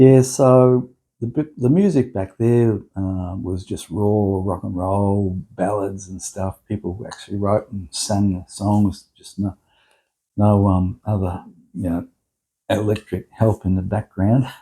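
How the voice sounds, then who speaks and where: A man's fairly low voice with a dark, mellow tone, in an Australian accent, at a fairly slow pace. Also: ordinary pitch variation. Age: 70s. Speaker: musician. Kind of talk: casual chat. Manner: halting, many fillers.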